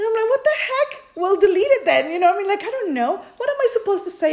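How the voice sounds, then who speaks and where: The speaker has a Spanish accent. Background noise is noticeable. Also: woman. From Peru. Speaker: podcast co-host. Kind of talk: casual chat.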